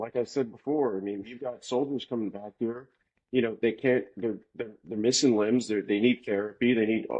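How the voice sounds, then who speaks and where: A man speaks in an American accent at a moderate pace, with a medium pitch and ordinary pitch variation. It is an ordinary speaking voice. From Florida. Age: 40s. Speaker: podcast guest. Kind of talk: casual chat.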